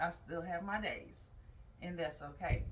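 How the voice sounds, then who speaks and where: Audible room echo surrounds the voice. The pace is fairly slow. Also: woman. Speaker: yoga teacher and mental health vlogger. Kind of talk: casual vlog talk.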